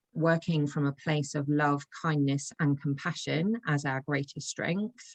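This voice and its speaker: A woman speaks with an English accent, fairly slowly and with fairly even intonation, her pitch very deep and low. The sound is dry and close with no echo, over a quiet background. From England. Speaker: intuitive coach. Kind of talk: podcast interview.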